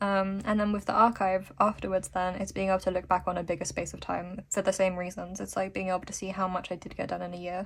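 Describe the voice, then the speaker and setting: A woman speaks at a very fast pace with hardly any pauses, her voice somewhat breathy. Her intonation is monotone and flat. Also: medium pitch for a woman. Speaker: youtuber, illustrator. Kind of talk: casual vlog talk to camera. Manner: rambling, hesitant with many fillers; slightly slurred words.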